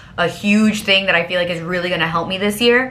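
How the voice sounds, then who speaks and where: A woman speaks at a fairly quick pace and a medium pitch over noticeable background noise. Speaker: lifestyle vlogger. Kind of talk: casual chat. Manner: fast; animated.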